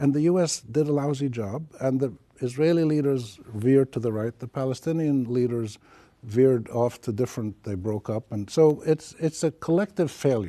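A man speaks at a medium pitch and moderate pace with ordinary pitch variation. His tone is dark and mellow, and the sound is dry and close with no echo. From Palestine. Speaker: journalist and academic. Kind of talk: interview.

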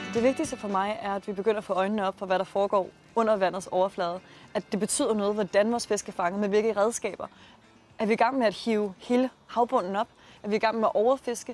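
Very fast speech comes from a woman at a fairly high pitch with fairly even intonation. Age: 20s. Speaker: startup founder. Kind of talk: interview.

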